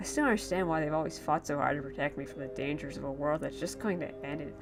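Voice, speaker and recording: A woman's voice with music in the background. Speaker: creepypasta narrator. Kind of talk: horror story narration. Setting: home recording, muffled audio. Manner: slurred.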